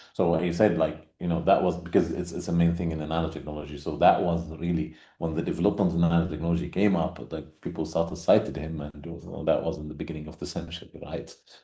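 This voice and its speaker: A man's very deep, low, dark and mellow voice, monotone and very fast with hardly any pauses, in audible room echo. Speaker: conference speaker on research. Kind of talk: conference presentation. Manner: halting, many fillers.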